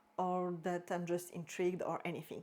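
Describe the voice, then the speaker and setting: A woman with a French accent speaks in a dark, mellow tone. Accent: French accent, drops H sounds. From French-speaking Switzerland. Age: 30s. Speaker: book vlogger. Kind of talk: casual vlog talk. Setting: filming at home in front of bookshelves. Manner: halting, self-correcting.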